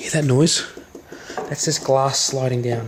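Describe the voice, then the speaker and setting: Over noticeable background noise, a soft-spoken man with a fairly high pitch talks at a fairly quick pace in a monotone, flat intonation. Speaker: hobbyist repair vlogger. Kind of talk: casual tutorial-style vlog. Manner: casual, hesitant with fillers.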